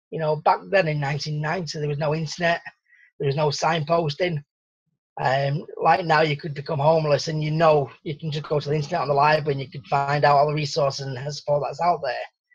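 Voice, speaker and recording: Somewhat breathy and fairly high in pitch, a man speaks at a fairly quick pace. His intonation stays monotone and flat. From Salford, north-west England; north-west England. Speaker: survival coach; interview guest. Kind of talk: interview. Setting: radio interview. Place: home room. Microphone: video call.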